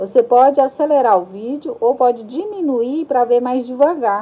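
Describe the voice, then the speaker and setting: In a high pitch, a woman speaks at a moderate pace with ordinary pitch variation. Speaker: crochet teacher. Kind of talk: tutorial.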